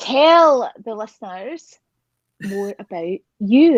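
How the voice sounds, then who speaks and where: A woman with a Scottish accent, fairly high in pitch with very wide pitch swings, in a dry, close sound with no echo. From Scotland. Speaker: talk show host. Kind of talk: casual chat interview. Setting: phone video stream from a glamping pod. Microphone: phone.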